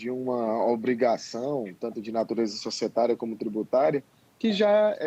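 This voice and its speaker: A man with an ordinary speaking voice keeps a medium pitch, a moderate pace and lively intonation. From Ceará, northeastern Brazil. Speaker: accountant and tax instructor. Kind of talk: live webinar interview. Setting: alone in his office, video call live stream.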